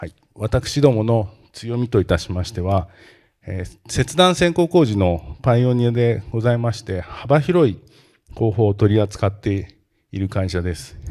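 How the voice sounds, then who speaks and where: A man speaks at a fairly slow pace with big swings in loudness over a quiet background. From Japan, Kanagawa (Tanzawa area); Kanagawa. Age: 50s. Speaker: company president; presenter. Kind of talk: investor presentation. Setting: seminar stage with audience. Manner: formal; frequent hesitation fillers. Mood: polite formal, calm. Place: hall. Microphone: handheld.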